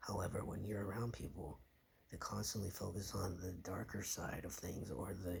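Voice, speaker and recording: A man's very deep, low voice with vocal fry and ordinary pitch variation. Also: moderate pace. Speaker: vlogger. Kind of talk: casual monologue. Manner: halting, self-correcting.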